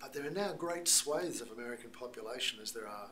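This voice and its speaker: With an Australian accent, a man speaks at a medium pitch and a fairly quick pace with lively intonation. Audible room echo and noticeable background noise fill the recording. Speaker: missiologist and speaker. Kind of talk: talk to American church audience.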